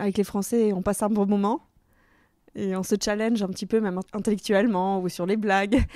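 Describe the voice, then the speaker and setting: On a very clean recording with a silent background, a woman's dark, mellow voice at medium pitch goes at a fairly quick pace in a monotone, flat intonation. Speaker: podcast host. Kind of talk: interview.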